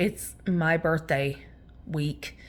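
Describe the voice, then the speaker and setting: A loud woman's voice at a fairly low pitch. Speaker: card game video host. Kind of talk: casual pack-opening chat. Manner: animated.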